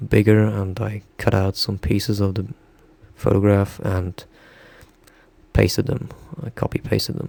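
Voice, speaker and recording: A man with a non-native accent and a fairly low voice speaks at a fairly slow pace with ordinary pitch variation against noticeable background noise. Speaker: illustrator, digital artist. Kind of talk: tutorial. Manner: halting, many fillers.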